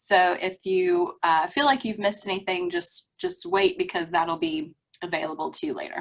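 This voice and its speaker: Here a woman has an ordinary speaking voice. She talks at a moderate pace with lively intonation. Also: medium pitch for a woman. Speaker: librarian presenting at a webinar. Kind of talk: presentation.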